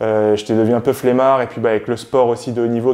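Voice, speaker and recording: This man talks very fast at a medium pitch, his dark, mellow tone delivered in a flat monotone. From France, Paris suburbs (Val-d'Oise). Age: 20s. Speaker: physiotherapist and YouTuber. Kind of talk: casual self-introduction vlog.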